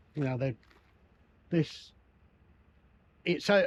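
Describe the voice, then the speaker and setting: Here a man speaks with an English accent. His voice is somewhat breathy. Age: 70s. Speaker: retired van-dwelling nomad. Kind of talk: casual interview chat. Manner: halting, repeats words.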